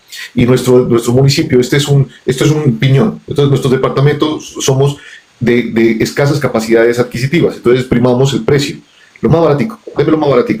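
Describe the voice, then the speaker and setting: Over noticeable background noise, a man talks at a very fast pace in an animated tone, his pitch fairly high and his loudness very even. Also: ordinary pitch variation. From Colombia, Pasto (Nariño). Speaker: businessman. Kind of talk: interview conversation. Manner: animated, repetitive stammering.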